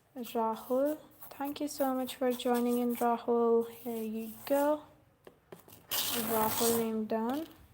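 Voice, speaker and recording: A woman with a high voice speaks very slowly and with fairly even intonation. Noticeable background noise runs underneath. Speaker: calligrapher livestreamer. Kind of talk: live stream chat. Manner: soft-spoken.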